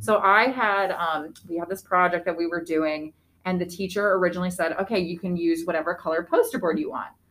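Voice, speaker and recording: A woman with an American accent talks at a fairly quick pace, her pitch fairly low with ordinary variation. She has a plain, everyday voice. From northeastern Pennsylvania, Wilkes-Barre/Scranton area. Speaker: school teacher. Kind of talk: casual chat.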